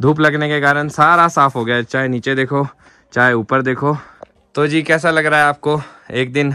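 At a fairly slow pace, a man with a fairly high pitch speaks in a bright, sharp tone with monotone, flat intonation. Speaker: vlogger. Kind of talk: vlog narration. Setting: outdoors in snowy village.

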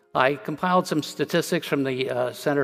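Faint music plays behind a man talking. His pitch varies in an ordinary way. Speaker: conference presenter. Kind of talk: lecture. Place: stage.

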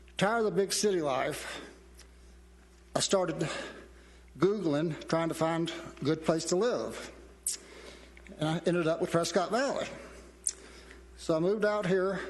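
A man with a Southern accent speaks in a high pitch with long, frequent pauses. Audible room echo fills the recording. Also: ordinary pitch variation, moderate pace. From South Carolina. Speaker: council vacancy candidate, retired business owner. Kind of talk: prepared candidate speech.

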